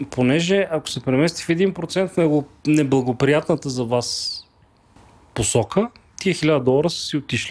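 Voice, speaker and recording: A man with an unremarkable speaking voice talks at a moderate pace, his pitch fairly high with ordinary variation. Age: 40s. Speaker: investment broker executive. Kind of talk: casual chat.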